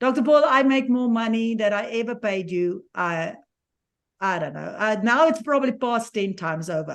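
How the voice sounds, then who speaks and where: Her pitch is fairly high and her intonation lively. The woman speaks at a moderate pace. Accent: South African. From South Africa. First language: Afrikaans. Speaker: certified positivity coach. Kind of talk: live stream conversation. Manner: halting.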